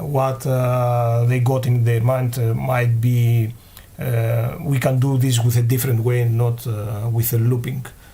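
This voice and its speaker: Speaking at a fairly slow pace with a non-native accent, a man uses a somewhat breathy, medium-pitched voice with monotone, flat intonation and very even loudness, amid audible room echo. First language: not English. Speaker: game developer. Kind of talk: live Q&A stream. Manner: halting, many fillers.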